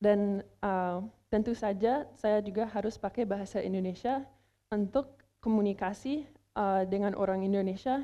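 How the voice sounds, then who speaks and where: A woman's medium-pitched voice, dark and mellow in tone, with an English accent. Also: fairly even intonation, moderate pace. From United States. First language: English (speaking Indonesian). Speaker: language competition contestant, researcher. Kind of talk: news report presentation; interview answer. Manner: halting, many fillers.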